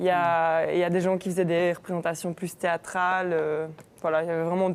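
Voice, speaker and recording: On a very clean recording with a silent background, a woman with a fairly low pitch talks at a fairly quick pace in a monotone, flat intonation. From Belgium, Namur. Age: 20s. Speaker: university student ambassador. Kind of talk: casual chat. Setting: live stream studio.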